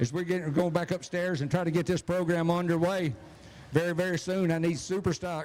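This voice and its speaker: A man with a Southern US accent speaks in a high voice. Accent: Southern US (Georgia). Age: 70s. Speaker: drag race announcer. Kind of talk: live event announcing.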